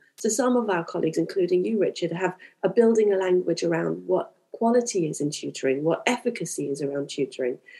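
At a very fast pace with hardly any pauses, a woman speaks in a dark, mellow tone, her medium pitch carried by lively intonation. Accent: British. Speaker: primary tutor and school leader. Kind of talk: panel discussion.

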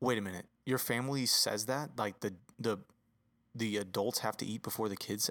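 On a very clean recording with a silent background, a man with a fairly low pitch speaks at a moderate pace in a normal speaking voice with ordinary pitch variation. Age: 30s. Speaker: podcast co-host, father. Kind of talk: casual chat.

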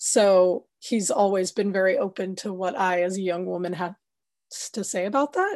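A woman with an American accent speaks in a normal speaking voice at a medium pitch. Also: fairly even intonation, moderate pace, quiet background. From United States. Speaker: cinematographer. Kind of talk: interview.

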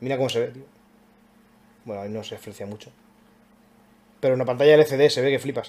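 Speech races at a very fast pace with fairly even intonation, broken by long, frequent pauses. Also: man, medium pitch for a man, big swings in loudness. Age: 20s. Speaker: podcast host. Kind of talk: casual chat.

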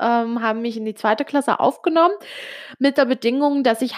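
Fairly high in pitch, a woman speaks at a moderate pace with ordinary pitch variation. The sound is dry and close, with no echo. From Switzerland, Italian family. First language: Italian (speaking German). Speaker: podcaster. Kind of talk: personal monologue. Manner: hesitant, many fillers.

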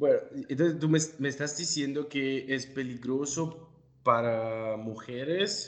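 A man talks with an Italian accent. His pitch variation is ordinary. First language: Italian (speaking Spanish). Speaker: podcast host. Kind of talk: interview. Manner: halting.

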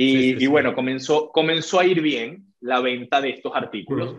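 Using a normal speaking voice, a man talks at a fairly quick pace with fairly high pitch and ordinary pitch variation. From Venezuela. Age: 20s. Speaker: entrepreneur and trader. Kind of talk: interview.

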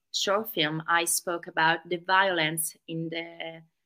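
Her voice fairly low in pitch and bright and sharp in tone, a woman speaks at a fairly slow pace with flat, monotone intonation on a very clean recording over a silent background. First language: Italian. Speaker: interpreter. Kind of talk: live interpreting.

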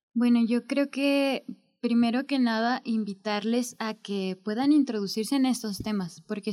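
A woman's fairly high voice with a dark, mellow tone, ordinary pitch variation and a fairly slow pace. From Mexico, Zacatecas. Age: 20s. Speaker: history student, essay prize winner. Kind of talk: interview.

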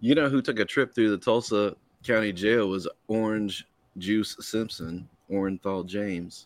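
On a very clean recording with a silent background, a man in a plain, everyday voice speaks at a moderate pace with a fairly low pitch and fairly even intonation. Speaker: podcast co-host. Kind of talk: casual banter. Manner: joking, profane.

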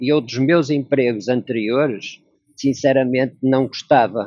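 A man talks at a moderate pace with fairly even intonation. His medium-pitched voice is a normal speaking voice. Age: 60s. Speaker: logistics worker. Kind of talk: interview. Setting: video call.

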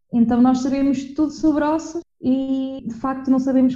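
This woman has a high voice with a dark, mellow tone and talks at a moderate pace. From Portugal, Viseu. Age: 20s. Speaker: podcast co-host, anthropology student. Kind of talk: casual chat.

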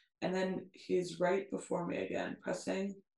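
This is plain reading aloud. The text is simply read out.

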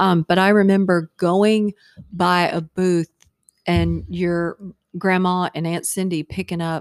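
A woman with an American accent speaks at a fairly slow pace and fairly low pitch, her intonation monotone and flat. The recording is very clean with a silent background, and the sound is dry and close with no echo. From Virginia, Hampton. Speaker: podcast guest, host's mother. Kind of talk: casual chat.

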